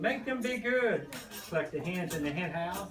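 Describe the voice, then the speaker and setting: A voice in a Kentucky accent swings very widely in pitch. The room echoes audibly and background noise is noticeable. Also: man. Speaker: grandparent, farmer reading to children. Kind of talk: reading aloud to children. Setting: classroom.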